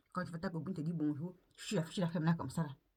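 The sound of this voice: Talking at a very fast pace, a woman with a fairly low pitch keeps fairly even intonation, her slightly mellow tone carrying a slightly husky edge.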